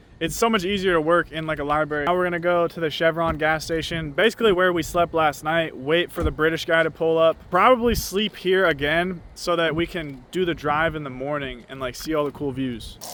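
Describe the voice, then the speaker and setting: An unremarkable speaking voice, a man with an American accent talks in a fairly high pitch with ordinary pitch variation and hardly any pauses. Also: fairly quick pace. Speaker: travel vlogger. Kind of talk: casual vlog narration. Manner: casual, slangy.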